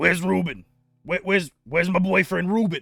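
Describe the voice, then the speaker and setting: Putting on a character voice, a man talks at a high pitch and a fairly quick pace with a raspy sound. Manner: worried, searching.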